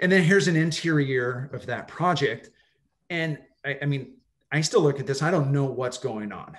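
A man speaks with an American accent. His fairly high voice sounds somewhat breathy. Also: ordinary pitch variation, moderate pace. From Southern California (Los Angeles, Orange County). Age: 40s. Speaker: architect and professor. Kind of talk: slide presentation. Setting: video call.

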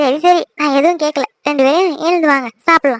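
A woman does a squeaky put-on character voice, high-pitched with fairly even intonation, at a moderate pace in a dry, close recording with no echo. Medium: cartoon. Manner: warm, teasing.

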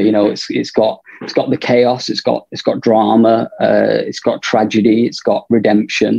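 With a northern English accent, the voice sounds dry with no echo against a quiet background. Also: man. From northern England. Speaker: film director. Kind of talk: interview. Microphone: video call.

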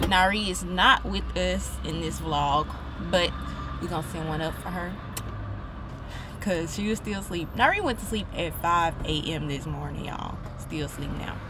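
Moderate pacing with long, frequent pauses, a dry sound with no echo, and noticeable background noise. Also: woman. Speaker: vlogger. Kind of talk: casual vlog chat. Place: car. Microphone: phone near.

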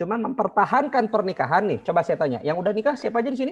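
Over a quiet background, a man speaks very fast in a high voice. His intonation is lively. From Bandung, West Java; West Java. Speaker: marriage consultant; online class teacher. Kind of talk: online class lecture. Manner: animated. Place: home room. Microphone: video call.

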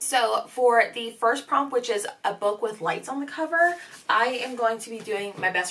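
Lively intonation marks a woman's speech, which moves at a fairly slow pace. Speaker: book vlogger. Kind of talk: casual vlog chat. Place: home room.

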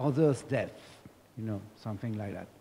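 Over light background noise, a man speaks in a dark, mellow tone that is somewhat breathy, with ordinary pitch variation. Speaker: audience member. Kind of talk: question from the floor. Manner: halting. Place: hall. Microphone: handheld.

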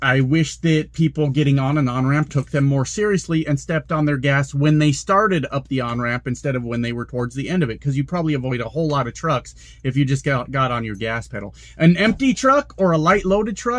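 The background stays quiet. A man talks fairly quickly. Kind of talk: casual vlog chat. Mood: annoyed, ranting. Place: car. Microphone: phone near.

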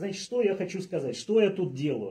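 Light background noise accompanies a man as he talks. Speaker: former radio presenter, party candidate; radio presenter, candidate. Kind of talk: casual humorous address. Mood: light, joking. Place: meeting room. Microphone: phone near.

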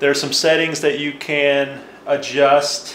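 A man at a fairly slow pace and fairly high pitch, with audible room echo and light background noise. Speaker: tech video presenter. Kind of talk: tutorial. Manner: casual, explanatory. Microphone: camera far.

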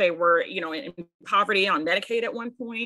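Against a quiet background, a woman talks at a fairly quick pace, her bright, sharp voice at a medium pitch with ordinary variation. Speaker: panelist and advocate; panelist. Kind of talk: panel discussion. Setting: video call. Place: home room. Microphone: video call.

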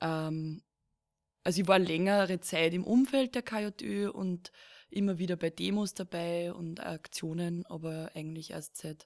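Recorded very cleanly against a silent background, with a dry, close sound and no echo, a woman talks at a fairly slow pace in a fairly low voice with ordinary pitch variation. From Lower Austria, rural. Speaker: podcast host. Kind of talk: casual chat. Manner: halting, many fillers.

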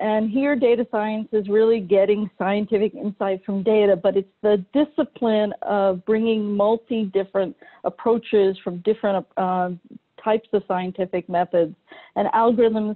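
The woman's pitch shifts an ordinary amount, and the background stays quiet. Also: moderate pace. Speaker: speaker. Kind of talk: lecture. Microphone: video call.

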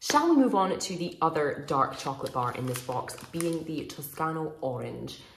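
A woman talks at a moderate pace. The room echo is audible, with light background noise. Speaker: food reviewer. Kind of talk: casual vlog review. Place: home room. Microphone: phone near.

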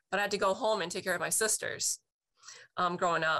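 Over a quiet background, a woman speaks at a fairly quick pace with a medium pitch. Her tone is bright and sharp, and her intonation stays flat and monotone. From Boston. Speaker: military veteran. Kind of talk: testimony. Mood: reflective, personal.

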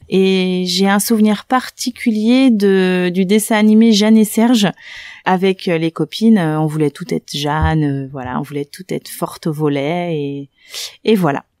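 A woman speaks at a fairly slow pace in a medium pitch, her tone calm but her intonation lively. The sound is dry and close with no echo, in a very clean recording with a silent background. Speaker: primary school teacher. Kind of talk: interview. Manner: hesitant, many fillers.

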